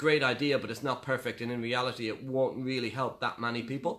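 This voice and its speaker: Here a man talks at a very fast pace. His voice sits at medium pitch with fairly even intonation. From Ireland. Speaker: property investor and author. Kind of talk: interview about his book.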